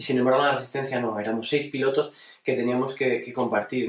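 A man's mid-range voice drones in a flat monotone, with audible noise behind him. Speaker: racing driver. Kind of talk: personal retrospective monologue. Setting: at home.

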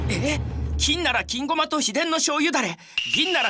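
A man's raised, projected voice at an extremely high pitch, moderate in pace, with music in the background. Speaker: model. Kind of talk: TV commercial dialogue.

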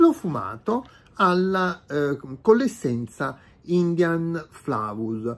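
A man talks at a very slow pace. His pitch swings very widely. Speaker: product reviewer. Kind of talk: unboxing video. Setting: home room, natural light. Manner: hesitant, many filler sounds. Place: home room. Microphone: phone near.

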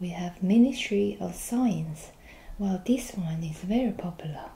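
A soft-spoken woman talks at a fairly slow pace, somewhat breathy and gentle in tone. Her dark, mellow voice has ordinary pitch variation. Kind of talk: role-play customer service dialogue. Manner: soft, gentle ASMR speaking voice. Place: office. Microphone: camera far.

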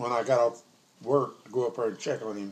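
A man with a Southern US accent at a fairly quick pace, over light background noise. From Arkansas. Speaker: grandfather telling a story. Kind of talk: storytelling. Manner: casual, conversational. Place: kitchen. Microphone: phone near.

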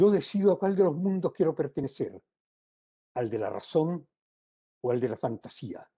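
His pitch swings very widely as this man talks. The tone is dark and mellow. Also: quiet background. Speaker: poet. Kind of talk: poetry reading, solemn and measured delivery. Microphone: video call.

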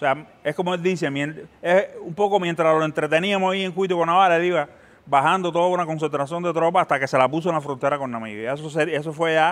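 This man talks fairly quickly, his fairly high pitch showing ordinary variation. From Cuba. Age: 50s. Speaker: filmmaker and former war correspondent; former war correspondent. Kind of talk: interview. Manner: halting, many fillers and repetitions. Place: hall. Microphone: lapel.

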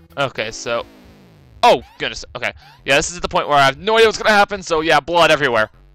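A man at a very fast pace, fairly high in pitch with very wide swings, in a dry, close sound with no echo over music in the background. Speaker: gaming YouTuber. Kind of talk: let's play commentary. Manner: animated.

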